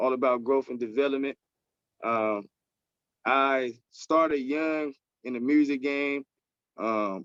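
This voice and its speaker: Recorded dry and close with no echo, a man speaks with fairly even intonation. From US South, Pine Bluff, Arkansas. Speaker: rapper and nonprofit leader. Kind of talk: podcast interview.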